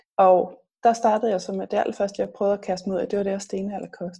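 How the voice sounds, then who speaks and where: Speaking at a very fast pace, a woman has a medium-pitched, somewhat breathy voice with a dark, mellow tone. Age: 40s. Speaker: health blogger and author. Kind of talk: interview.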